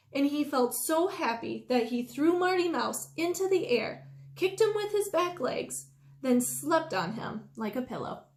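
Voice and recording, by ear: At a fairly slow pace, a woman speaks in a high pitch with big pitch swings.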